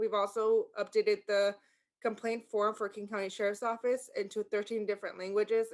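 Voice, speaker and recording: A woman with a Spanish accent talks at a moderate pace in a medium-pitched voice. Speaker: sheriff's office language access liaison. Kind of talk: community meeting presentation. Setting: video call.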